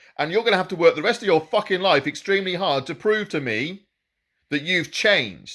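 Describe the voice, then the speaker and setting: The man talks at a moderate pace in a high, bright, sharp voice with an animated tone and lively intonation. The recording is very clean and the background silent. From Britain. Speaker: political commentator. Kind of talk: opinion monologue.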